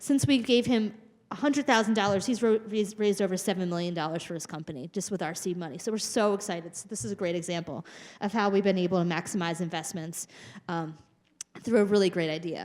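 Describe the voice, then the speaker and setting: Talking at a very fast pace, a woman uses a medium pitch and ordinary pitch variation on a very clean recording with a silent background. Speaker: research program speaker at patient symposium. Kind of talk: conference presentation.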